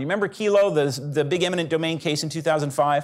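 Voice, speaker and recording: This man has a plain, everyday voice with a fairly high pitch. His intonation is lively. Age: 40s. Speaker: litigator. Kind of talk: panel discussion.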